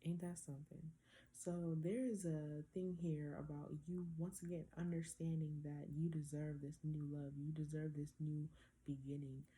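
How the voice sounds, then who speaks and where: A woman speaks with a very deep, low pitch and a somewhat breathy voice. Her pace is fairly slow and her tone dark and mellow. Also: fairly even intonation. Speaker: tarot reader. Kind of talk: tarot reading. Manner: casual, conversational.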